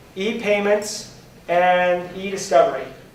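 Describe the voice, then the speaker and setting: The delivery has an animated tone over noticeable background noise. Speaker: software trainer. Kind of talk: lecture. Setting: conference classroom with audience.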